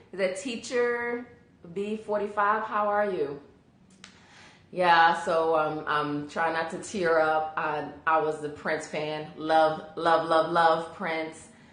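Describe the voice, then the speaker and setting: At a very slow pace, a woman with a fairly low pitch and ordinary pitch variation speaks amid audible room echo. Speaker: live video host. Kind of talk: live stream chat with viewers. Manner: halting, many fillers.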